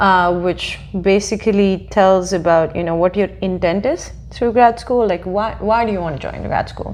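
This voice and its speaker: Over noticeable background noise, a woman talks at a medium pitch and moderate pace with fairly even intonation. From India. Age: 20s. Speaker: PhD graduate in biomedical engineering. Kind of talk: interview. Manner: hesitant, many fillers.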